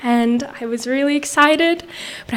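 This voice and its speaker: A woman speaks at a fairly slow pace with fairly even intonation. The room echo is audible. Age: young. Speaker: storyteller. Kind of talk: storytelling on stage. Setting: outdoor stage with audience.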